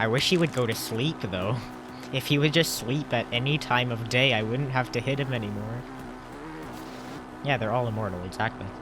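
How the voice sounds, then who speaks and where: Music plays behind a man who talks fairly quickly in a medium pitch with ordinary pitch variation and long, frequent pauses. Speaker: speedrunner streamer. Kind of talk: live stream commentary. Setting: live stream.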